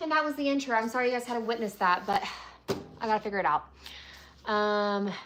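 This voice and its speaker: Speaking very fast with lively intonation, a woman with a fairly high voice leaves long, frequent pauses. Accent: American. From Tennessee. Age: 20s. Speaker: resin artist and craft video creator. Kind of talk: casual livestream chat.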